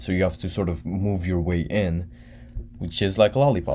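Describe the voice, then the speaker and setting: This man's voice has a very deep, low pitch and a dark, mellow tone. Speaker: student tutor streaming an exam review. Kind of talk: live-stream tutorial answering chat. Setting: live stream. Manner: casual, slangy.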